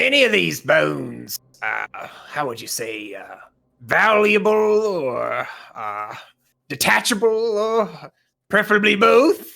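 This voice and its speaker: In a put-on character voice, a man speaks raspy and high-pitched at a fairly slow pace, with long, frequent pauses. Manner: rattling, sinister-humorous.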